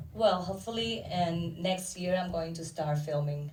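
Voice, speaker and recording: A woman talks at a moderate pace with a fairly low pitch and ordinary pitch variation. Audible room echo and noticeable background noise are present. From Dominican Republic. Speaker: actor and filmmaker. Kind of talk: panel interview.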